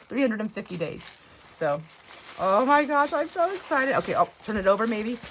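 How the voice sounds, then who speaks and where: Amid noticeable background noise, a woman's voice makes very wide pitch swings. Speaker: craft video creator. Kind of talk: casual chat. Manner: animated; high-pitched squeals.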